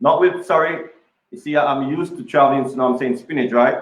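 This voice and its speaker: A man speaks with a Jamaican accent, his intonation fairly even. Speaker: chef. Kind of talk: live cooking demo interview. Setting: kitchen, live video broadcast. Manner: hesitant, many fillers and repeats.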